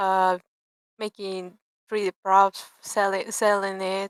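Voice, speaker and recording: On a very clean recording with a silent background and dry, close sound with no echo, a woman with a Peruvian accent speaks very slowly at medium pitch in a bright, sharp tone. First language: Spanish. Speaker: 3D artist and game designer. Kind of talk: casual chat. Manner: halting.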